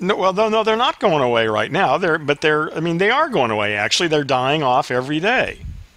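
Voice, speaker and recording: At a fairly quick pace, a man with a fairly high pitch speaks in very wide pitch swings. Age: 60s. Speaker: podcast host. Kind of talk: casual chat. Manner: halting.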